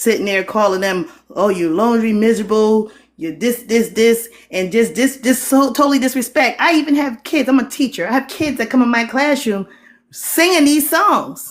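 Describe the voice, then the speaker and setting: In a Geechee accent, a woman with a fairly high pitch talks at a moderate pace with lively intonation. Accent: Geechee, slurs some words. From Geechee (Gullah) Lowcountry, US Southeast coast. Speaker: teacher. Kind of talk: live stream discussion.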